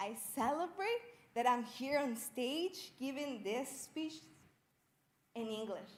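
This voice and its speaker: A woman's high voice with a Spanish accent, very slow in pace, lively in intonation, with audible room echo. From Mexico, Jalisco. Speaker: Spanish teacher, student storyteller. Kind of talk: personal storytelling speech. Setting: stage with audience.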